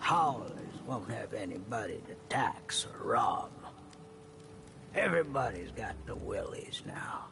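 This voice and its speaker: Over clear background noise, a man puts on a character voice and speaks at a fairly slow pace. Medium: game stream. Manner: hushed, confiding.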